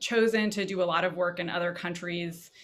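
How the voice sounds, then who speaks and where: A woman is speaking. Her pace is fairly quick. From Davis, California. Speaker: panelist, former educator. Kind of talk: panel discussion.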